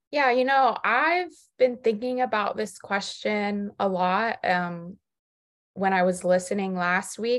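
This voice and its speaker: A plain, everyday voice with ordinary pitch variation speaks at a fairly slow pace on a very clean recording with a silent background. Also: woman. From South Florida. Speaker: podcast co-host. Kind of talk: casual chat. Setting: studio.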